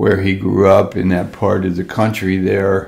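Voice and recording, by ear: Low-pitched with vocal fry, a man's voice carries a slightly mellow tone.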